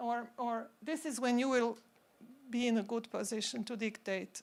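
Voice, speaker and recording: Her pitch is fairly high for a woman. She has a non-native accent. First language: not English. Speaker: symposium speaker, pharma consultant. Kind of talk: conference talk. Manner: halting.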